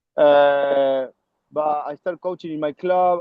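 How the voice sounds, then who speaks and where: A man with an Argentine accent, a fairly high pitch, fairly even intonation and a very slow pace. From Argentina, Córdoba. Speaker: rugby coach. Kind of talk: interview. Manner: halting, many fillers.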